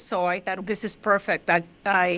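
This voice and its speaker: A woman with a Mexican accent, speaking at a fairly slow pace. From Mexico, Michoacán (rural). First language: Spanish. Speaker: journalist. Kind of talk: interview.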